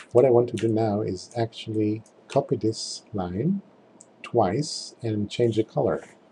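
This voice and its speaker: Somewhat breathy, a man talks at a fairly slow pace with medium pitch and ordinary pitch variation. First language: not English. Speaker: tutorial presenter. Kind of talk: screen-recorded software tutorial. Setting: screen recording voiceover. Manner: halting, with fillers.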